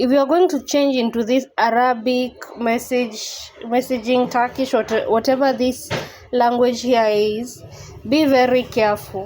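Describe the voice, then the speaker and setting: With a non-native accent, a woman talks at a fairly slow pace in a high pitch, her intonation fairly even and her loudness very even. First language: not English. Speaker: YouTuber. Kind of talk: tutorial. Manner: casual, conversational.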